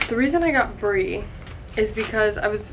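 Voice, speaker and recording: Noticeable background noise sits under a woman speaking at a fairly slow pace with an American accent. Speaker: lifestyle vlogger. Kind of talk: casual vlog chat. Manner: chatty.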